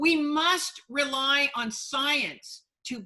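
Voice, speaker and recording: A woman speaks with a high pitch and a raised, projected voice. Her tone is bright and sharp, with ordinary pitch variation. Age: 60s. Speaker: sociobiologist and futurist. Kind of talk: interview.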